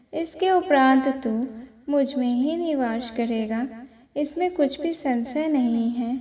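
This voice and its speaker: A woman's high-pitched voice in a dark, mellow tone with ordinary pitch variation. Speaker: scripture reader. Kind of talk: reading aloud.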